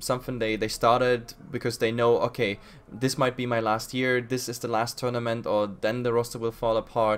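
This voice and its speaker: This man speaks with a German accent at a moderate pace and a medium pitch. His intonation is monotone and flat. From Germany. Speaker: podcast host and esports caster. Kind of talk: podcast interview.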